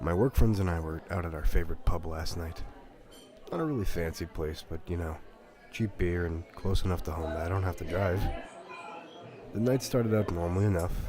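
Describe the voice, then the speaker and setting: Music in the background behind a man's very deep, low-pitched voice, at a fairly quick pace with long, frequent pauses. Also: ordinary pitch variation. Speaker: story narrator. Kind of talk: horror story reading.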